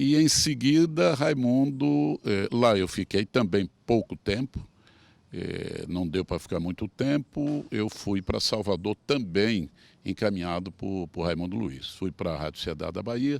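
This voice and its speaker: Pitch swings very widely at a fairly slow pace. The recording is very clean, with a silent background and a dry, close sound with no echo. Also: man, fairly low pitch for a man. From Sergipe, Brazil (Japaratuba). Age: 70s. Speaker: veteran broadcaster and politician. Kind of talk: interview.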